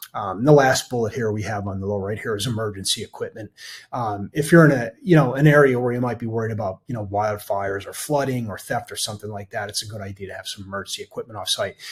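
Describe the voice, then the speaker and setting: An American-accented man talks at a very fast pace with hardly any pauses, in a medium pitch with ordinary pitch variation. His voice is somewhat breathy and shows big swings in loudness. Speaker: cybersecurity consultant. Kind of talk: webinar presentation. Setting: online webinar. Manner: many fillers and restarts.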